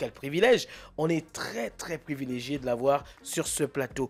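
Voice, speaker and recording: A man speaks at a moderate pace. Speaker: radio host. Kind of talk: radio talk show.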